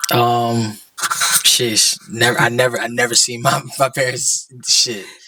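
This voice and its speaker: Fairly slow, medium-pitched speech from a man with ordinary pitch variation, over noticeable background noise. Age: 20s. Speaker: podcast guest, small business owner. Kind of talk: casual chat. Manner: halting.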